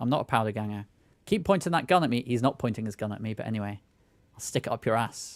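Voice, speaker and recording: Over a silent background on a very clean recording, a man talks at a very fast pace. His pitch is medium, with ordinary variation. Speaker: gaming streamer. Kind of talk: gameplay commentary. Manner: loud; casual.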